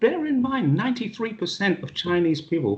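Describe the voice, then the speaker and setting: The speaker is a man with vocal fry. He talks at a moderate pace. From England. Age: 60s. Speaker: retired police officer and expat. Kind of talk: interview. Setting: video call. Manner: animated.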